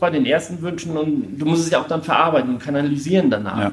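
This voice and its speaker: A man speaks at a very fast pace, his fairly high pitch showing ordinary variation. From Schleswig-Holstein, northern Germany. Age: 40s. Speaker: charity volunteer. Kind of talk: interview.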